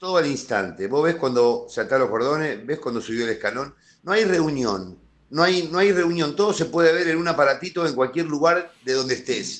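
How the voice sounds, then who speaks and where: A man with a normal speaking voice talks at a moderate pace, his fairly high pitch carried by lively intonation. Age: 50s. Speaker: football fan commentator. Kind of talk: casual chat.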